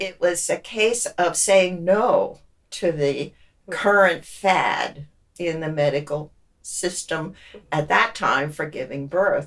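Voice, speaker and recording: Her voice fairly low in pitch, a woman speaks very slowly with ordinary pitch variation. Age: 80s+. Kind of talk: interview answer.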